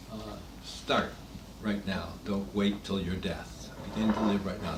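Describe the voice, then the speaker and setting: A man's voice carries audible room echo. Noticeable background noise runs underneath. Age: 80s+. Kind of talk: talk to a small gathering. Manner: halting.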